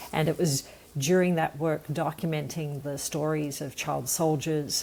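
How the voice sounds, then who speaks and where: A woman with a very deep, low pitch and a dark, mellow tone speaks fairly slowly in a flat, monotone way. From Australia (Sydney). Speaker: environmental nonprofit founder. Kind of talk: podcast interview.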